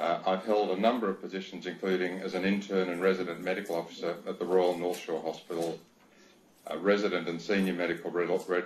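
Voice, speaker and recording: The delivery is very fast. The intonation stays monotone and flat. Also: man. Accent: Australian. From Australia, Sydney. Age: 60s. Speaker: doctor, inquiry witness. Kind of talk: reading aloud a witness statement. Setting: video link to a hearing. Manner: formal.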